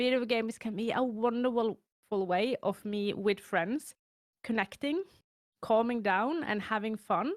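A fairly high-pitched woman's voice with a Norwegian accent and fairly even intonation, in a very clean recording with a silent background. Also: dry, close sound with no echo. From Norway. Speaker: chronically ill content creator. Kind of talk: casual interview chat.

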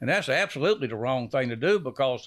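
Talking at a very fast pace, a man with a Louisiana accent has a fairly high pitch and vocal fry. The background is quiet. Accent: Louisiana Southern US. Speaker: decoy company founder. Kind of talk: casual chat.

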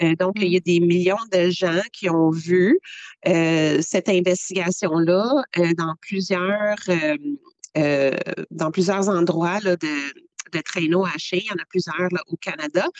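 A woman speaks very slowly with a Quebec accent, her pitch fairly low and her intonation fairly even. The sound is dry and close, with no echo. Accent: Québécois French. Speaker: animal rights activist. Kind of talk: interview. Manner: hesitant with fillers.

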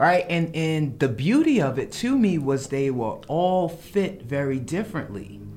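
With a New York accent, a man speaks at a fairly slow pace in a fairly high pitch that swings very widely. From New York, the Bronx. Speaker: menswear designer and stylist. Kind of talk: casual chat.

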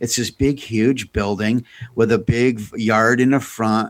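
An ordinary speaking voice from a man in an American accent at a fairly slow pace, in a very clean recording with a silent background. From United States. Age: 50s. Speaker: podcast co-host. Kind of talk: casual chat.

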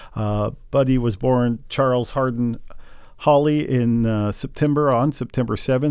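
A man's ordinary speaking voice at medium pitch, fairly slow, with fairly even intonation, in a very clean recording with a silent background. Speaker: podcast host. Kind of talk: podcast discussion.

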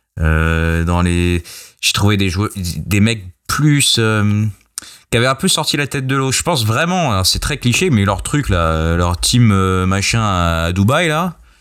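Against a silent background in a very clean recording, a man with a fairly low voice speaks very slowly with lively intonation. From Australia. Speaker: football writer and podcast co-host. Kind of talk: casual chat.

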